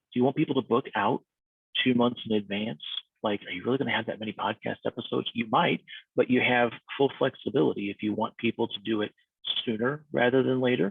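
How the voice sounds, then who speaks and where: Ordinary pitch variation comes through as a man talks very fast. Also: medium pitch for a man. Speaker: podcast services consultant. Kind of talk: tutorial. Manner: casual, conversational.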